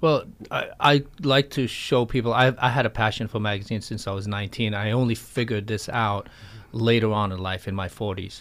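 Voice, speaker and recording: Recorded very cleanly against a silent background, an ordinary speaking voice with an American accent moves at a fairly quick pace with fairly even intonation. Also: man, medium pitch for a man. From New York City, raised from age six after early years in Paris. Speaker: magazine publisher. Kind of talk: interview.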